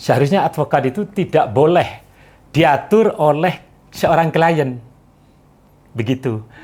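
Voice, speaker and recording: A man with a Madurese accent, somewhat breathy, at a fairly slow pace with long, frequent pauses, very even loudness and ordinary pitch variation. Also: fairly high pitch for a man. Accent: stiff Madurese-like. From East Java (Probolinggo), Madurese descent. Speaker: lawyer. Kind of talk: interview. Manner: halting, many hesitations.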